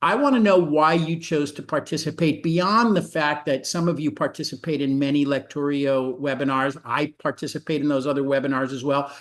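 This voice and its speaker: Ordinary pitch variation over a quiet background. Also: man. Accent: New York. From New York City (Brooklyn). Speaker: medical education professor. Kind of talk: webinar presentation. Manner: fast.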